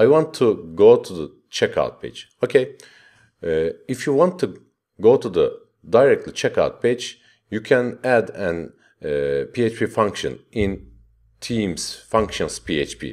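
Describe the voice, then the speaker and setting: The background is quiet. A man talks at a very slow pace. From Turkey. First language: Turkish. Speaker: web development tutorial maker. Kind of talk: screencast tutorial. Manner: halting with many fillers. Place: home room.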